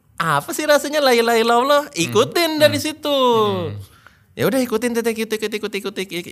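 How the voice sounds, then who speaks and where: Extremely high in pitch, a man speaks at a very fast pace with lively intonation, in a very clean recording with a silent background. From Jakarta, Indonesia. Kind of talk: testimony. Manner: halting.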